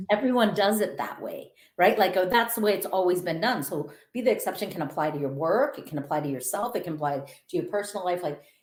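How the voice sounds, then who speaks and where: Here is a woman with a Minnesotan accent. She speaks at a very fast pace with lively intonation. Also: medium pitch for a woman. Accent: Minnesota. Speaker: author and motivational speaker. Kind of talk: podcast interview.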